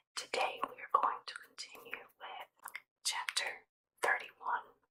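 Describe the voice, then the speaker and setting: Whispering at a fairly slow pace. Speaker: ASMR Bible reader. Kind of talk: casual greeting to listeners. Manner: whispered; soft-spoken, soothing.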